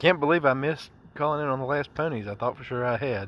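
At a fairly quick pace, a man speaks in a plain, everyday voice of medium pitch with ordinary pitch variation. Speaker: listener leaving a voicemail. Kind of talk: voicemail message. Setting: recorded voice message.

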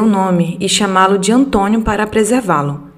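This woman has a normal speaking voice at medium pitch. She talks at a moderate pace. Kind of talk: reading aloud a ghost story sent by a listener, told in first person. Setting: solo podcast recording. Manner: measured, storyteller pacing with vivid detail.

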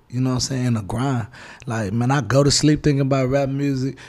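A man speaks with a Houston accent. His voice sits at medium pitch with a dark, mellow tone. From Houston, Texas. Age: young. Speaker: rapper. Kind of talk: casual interview. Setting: studio.

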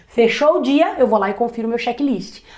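This is a woman's voice. Its pitch moves up and down in an ordinary way. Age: 30s. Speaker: entrepreneur. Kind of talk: interview.

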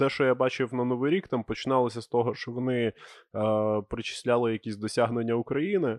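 This man talks at a fairly quick pace with a medium pitch and ordinary pitch variation, in a plain, everyday voice. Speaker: podcast host. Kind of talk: casual banter. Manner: joking.

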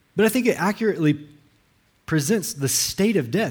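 Speaking at a fairly quick pace, a man in a Southern US accent makes very wide pitch swings. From US South, Alabama. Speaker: pastor. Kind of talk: sermon. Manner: halting, frequent repetitions.

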